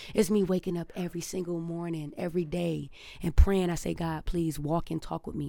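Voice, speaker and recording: A woman with an American accent speaks at a fairly low pitch and a fairly quick pace. Her tone is dark and mellow, her intonation monotone and flat. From Detroit, US Midwest. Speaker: barber. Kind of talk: casual chat.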